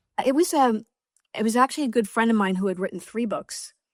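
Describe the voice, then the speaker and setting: A woman speaks with a New York accent. The sound is dry and close with no echo, in a very clean recording with a silent background. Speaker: author. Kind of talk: interview. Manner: blunt, direct.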